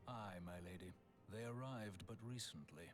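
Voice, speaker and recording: Using a put-on character voice, a man speaks in a solemn tone at a fairly low pitch and moderate pace amid clear background noise. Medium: actual play. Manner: solemn, archaic.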